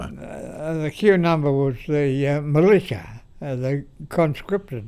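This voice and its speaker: A man with an Australian accent, very slow pace, dark, mellow tone, and fairly high pitch. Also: ordinary pitch variation. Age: 90s. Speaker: war veteran. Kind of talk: interview answer. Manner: hesitant, halting.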